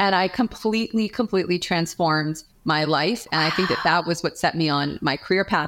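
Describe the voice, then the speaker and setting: A woman with a plain, everyday voice and an American accent talks at a fairly low pitch and fairly quick pace with ordinary pitch variation, in a very clean recording with a silent background. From New York. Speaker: chief marketing officer. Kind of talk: interview.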